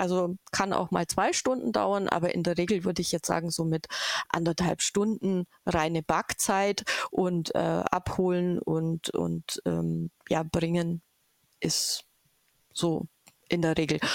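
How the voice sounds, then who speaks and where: Speaking at a very slow pace, a woman uses a fairly low pitch, fairly even intonation and very even loudness, with a dry, close sound that has no echo. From Bavaria, Augsburg area. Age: 50s. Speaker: volunteer baker at a church bakehouse. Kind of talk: interview. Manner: hesitant, many fillers.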